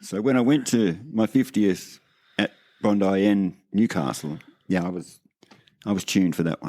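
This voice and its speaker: A man speaks with an Australian accent and a dark, mellow tone. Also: very clean recording, silent background. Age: 60s. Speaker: veteran skateboarder. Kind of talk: casual chat.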